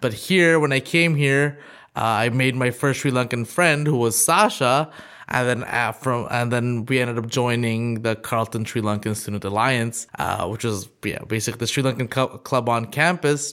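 Speaking at a moderate pace, a man has a bright, sharp tone at medium pitch with ordinary pitch variation. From Thailand. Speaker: podcast co-host. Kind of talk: casual chat.

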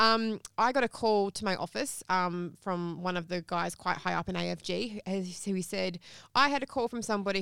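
The speaker has an Australian accent. Their pitch varies an ordinary amount. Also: woman, very clean recording, silent background. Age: young. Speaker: accountant and media commentator. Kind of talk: interview. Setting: studio.

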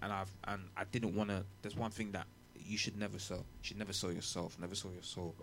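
In a London accent, a man talks at a fairly quick pace with monotone, flat intonation. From England. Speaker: rapper. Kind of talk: casual chat.

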